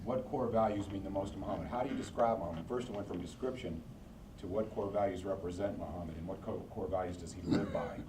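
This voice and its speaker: With audible room echo, a man at a fairly low pitch talks at a very fast pace, his pitch varying in an ordinary way. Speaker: board member of the center, hosting visitors. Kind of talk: casual Q&A with visiting group.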